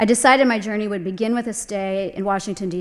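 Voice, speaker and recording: A woman with an American accent speaks at a fairly quick pace in an ordinary speaking voice, her pitch medium with ordinary variation. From US South. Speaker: landscape architect. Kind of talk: lecture.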